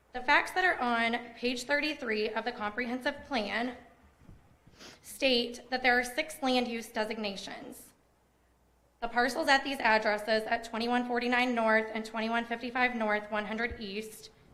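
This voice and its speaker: A woman with an American accent speaks at a moderate pace in a high, bright, sharp voice with fairly even intonation. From Indiana, Tipton County. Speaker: resident speaking at public hearing. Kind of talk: prepared public comment. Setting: public zoning board meeting. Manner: formal.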